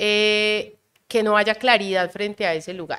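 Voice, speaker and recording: A woman's bright, sharp voice with fairly even intonation on a very clean recording with a silent background. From Colombian Caribbean coast. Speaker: calligrapher and visual artist. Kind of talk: casual interview conversation.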